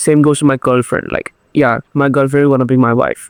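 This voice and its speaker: The man's fairly high voice stays monotone and flat as he talks at a fairly quick pace, with a dry, close sound and no echo. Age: 20s. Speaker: YouTuber. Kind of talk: motivational monologue.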